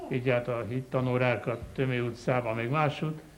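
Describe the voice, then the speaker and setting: With audible room echo, a man of medium pitch speaks at a fairly slow pace. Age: 70s. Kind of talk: sermon. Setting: chapel. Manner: animated.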